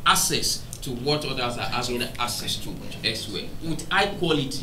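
A man speaks at a moderate pace with a Nigerian accent and a fairly high pitch. There is noticeable background noise. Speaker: biomedical research institute founder. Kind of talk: panel discussion. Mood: friendly, smiling. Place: studio.

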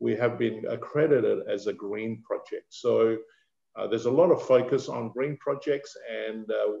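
Speaking fairly slowly at a medium pitch, a man shows vocal fry and a slightly mellow tone, with ordinary pitch variation.

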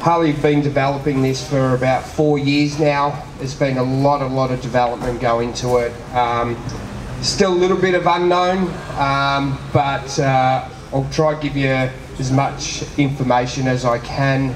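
A man at a moderate pace, fairly even intonation, with noticeable background noise. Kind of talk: speech to an audience at a product launch.

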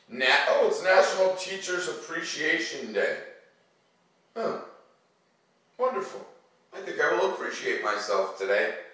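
In a room with strong echo, a man speaks at a fairly high pitch with a bright, sharp tone, big pitch swings, a fairly slow pace and long, frequent pauses.

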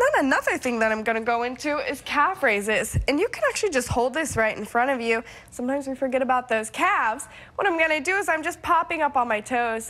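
A woman talks at a very fast pace in a high voice with lively intonation. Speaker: guest. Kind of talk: tutorial. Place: studio.

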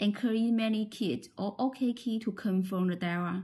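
A woman talks at a very slow pace in a dark, mellow tone that is somewhat breathy. Her intonation stays fairly even. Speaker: product demonstrator. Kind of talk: tutorial. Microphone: phone near.

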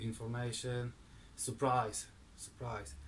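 There is light background noise behind a man with a Polish accent. His voice is somewhat breathy. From Poland. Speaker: woodturning video maker. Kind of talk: casual vlog. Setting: garage workshop. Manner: halting. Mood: grateful, happy. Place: garage.

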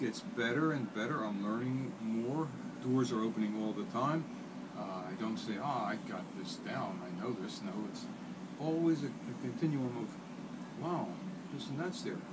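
The voice belongs to a man. Heavy background noise is loud throughout. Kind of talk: interview answer. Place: gym. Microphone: phone near.

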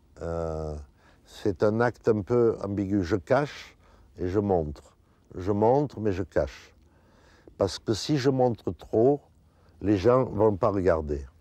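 Over a quiet background with a dry sound and no echo, a man with a fairly low pitch and a dark, mellow tone speaks at a very slow pace, his intonation lively and his pauses long and frequent. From France. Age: 70s. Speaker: sculptor. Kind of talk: interview. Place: garden. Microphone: lapel.

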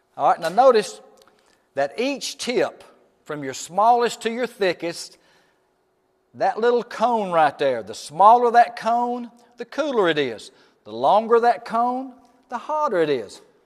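Speaking at a fairly slow pace, a man holds a high pitch and makes big pitch swings.

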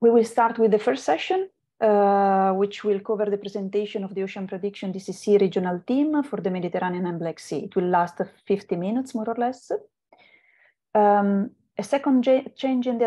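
A woman speaks in a dark, mellow tone at a moderate pace. The background is quiet. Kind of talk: meeting introduction. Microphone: video call.

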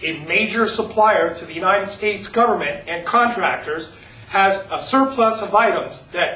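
A man with a high voice speaks in a raised, projected way with an upbeat tone. Noticeable background noise runs behind him. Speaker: auction promoter / host. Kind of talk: auction promo, sales pitch narration. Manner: upbeat, salesy.

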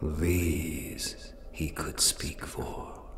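Clear background noise runs under a man's voice. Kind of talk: lyrical gothic prose-poem incantation. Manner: slow, measured, ornate.

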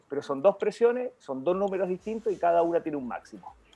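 A man's high-pitched voice at a very fast pace, with ordinary pitch variation and music in the background. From Chile, Maule region (Linares). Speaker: medical doctor. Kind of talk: health talk show interview, explanatory. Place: home room. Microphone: video call.

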